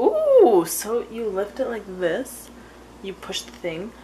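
A woman's voice over loud background noise. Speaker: vlogger. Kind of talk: casual vlog chat. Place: kitchen. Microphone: phone near.

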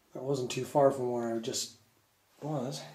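Audible room echo and light background noise surround a man speaking at a fairly slow pace with fairly even intonation. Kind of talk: casual exploration commentary. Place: tunnel cave. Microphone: phone near.

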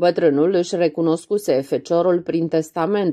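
A woman speaks at a fairly low pitch in an ordinary speaking voice. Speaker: audiobook reader. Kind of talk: audiobook reading of a literary novella.

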